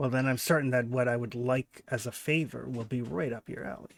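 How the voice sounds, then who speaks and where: A man puts on a raspy character voice at medium pitch and talks at a fairly quick pace. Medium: actual play. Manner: polite, hesitant.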